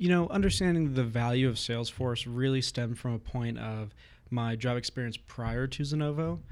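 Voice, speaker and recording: A man with an American accent has a plain, everyday voice, speaking at medium pitch and a moderate pace with ordinary pitch variation on a very clean recording with a silent background. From US West Coast (Southern California). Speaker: software platform admin. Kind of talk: interview conversation. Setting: office.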